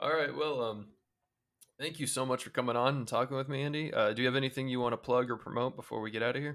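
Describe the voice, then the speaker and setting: This man talks at a very fast pace with an American accent, his medium pitch held in fairly even intonation. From Indiana, US Midwest. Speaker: podcast host. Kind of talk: casual interview.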